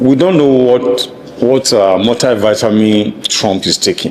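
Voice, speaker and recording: A medium-pitched male voice amid noticeable background noise. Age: 60s. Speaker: political commentator. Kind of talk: interview.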